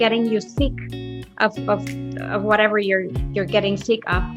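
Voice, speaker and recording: Music plays behind a woman with a Mexican accent whose intonation is lively. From Mexico City. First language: Spanish. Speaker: holistic health coach. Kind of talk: podcast interview answer.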